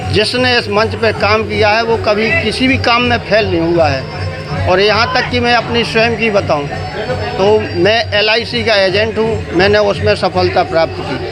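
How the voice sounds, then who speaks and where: With music playing behind him and audible room echo, a man talks at a very even loudness. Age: 60s. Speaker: Ramlila stage actor. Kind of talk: interview.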